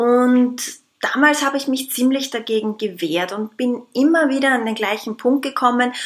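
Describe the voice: At a moderate pace, a woman speaks with a fairly high pitch, ordinary pitch variation and a slightly husky edge.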